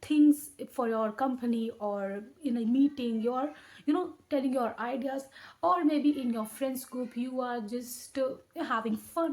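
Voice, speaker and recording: A woman with an Indian accent speaks at a high pitch with ordinary pitch variation. Her pace is fairly slow. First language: Hindi. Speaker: educational YouTuber. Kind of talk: tutorial. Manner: halting, with frequent self-corrections.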